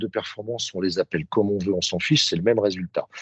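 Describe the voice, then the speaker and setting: A man speaks, his pitch swinging very widely up and down. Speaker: sales trainer. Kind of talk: webinar presentation. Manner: fast.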